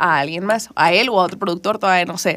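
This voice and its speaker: Over noticeable background noise, a woman talks at a very fast pace in an animated tone. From northern Mexico, Culiacán, Sinaloa. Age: 20s. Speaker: singer-songwriter. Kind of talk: interview. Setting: radio studio.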